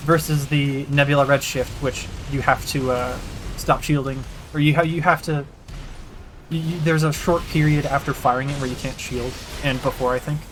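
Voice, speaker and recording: Noticeable background noise runs through the clip. The pace is moderate, broken by long, frequent pauses. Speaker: video game streamer. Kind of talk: gameplay livestream commentary. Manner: halting.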